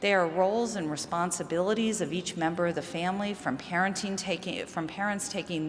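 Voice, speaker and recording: With a slight Chicago accent, the speaker moves at a fairly quick pace with fairly even intonation, heard through audible room echo and noticeable background noise. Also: woman. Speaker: mental health researcher. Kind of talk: conference talk.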